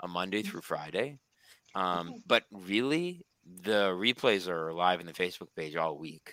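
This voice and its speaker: A man's very deep, low voice with a bright, sharp tone, fairly slow pace and ordinary pitch variation, in a dry, close sound with no echo. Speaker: recovery coach. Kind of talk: casual chat. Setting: video call. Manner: halting.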